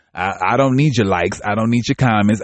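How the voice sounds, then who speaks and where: An animated man with an American accent speaks with ordinary pitch variation. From US Midwest. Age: 40s. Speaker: podcast host, recovering addict. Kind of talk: podcast monologue. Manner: animated, halting with fillers.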